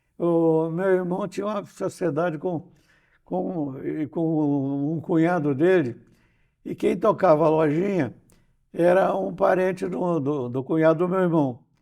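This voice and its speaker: A man with a fairly high pitch and a dark, mellow tone speaks at a fairly slow pace with ordinary pitch variation, on a very clean recording with a silent background. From Brazil, Rio de Janeiro state countryside (São Fidélis). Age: 90s. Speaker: poet, journalist and retired professor. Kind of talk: interview, life story. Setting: interview on a church channel. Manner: halting, frequent repetitions.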